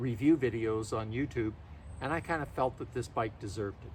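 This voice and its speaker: At a moderate pace, a man with a somewhat breathy voice talks, his pitch varying in an ordinary way. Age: 70s. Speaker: e-bike owner reviewer. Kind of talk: product review. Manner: casual, conversational.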